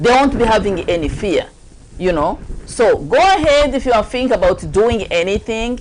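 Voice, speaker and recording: A woman with a strong African accent speaks in an animated tone at a moderate pace. Her pitch swings very widely, and there is noticeable background noise. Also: fairly high pitch for a woman. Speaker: talk show host. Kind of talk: casual chat.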